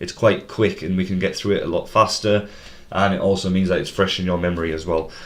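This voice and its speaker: A man with a Teesside accent at a fairly quick pace. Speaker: quizmaster. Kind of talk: live stream pub quiz hosting. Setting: live stream. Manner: fast.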